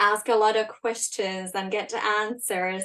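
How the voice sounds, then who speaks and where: A woman of medium pitch with a Finnish accent, at a fairly slow pace against a quiet background. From Finland. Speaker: leadership coach. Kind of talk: live webinar talk. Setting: livestream. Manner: casual, with many fillers.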